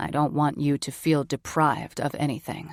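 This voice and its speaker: A woman puts on a growling character voice with a very deep, low pitch and monotone, flat intonation at a moderate pace. The recording is very clean and dry, with a close sound, no echo and a silent background. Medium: read story. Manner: controlled, terse.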